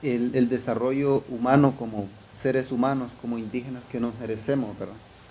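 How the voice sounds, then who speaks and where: A man with a dark, mellow tone speaks at a very fast pace in monotone, flat intonation, with audible room echo. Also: medium pitch for a man. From Honduras. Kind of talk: lecture. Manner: halting, frequent fillers.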